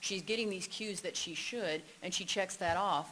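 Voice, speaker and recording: A woman talks at a fairly quick pace with ordinary pitch variation. Audible room echo is present. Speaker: expert witness, psychology professor. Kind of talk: court testimony; casual chat. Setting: courtroom. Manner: fast.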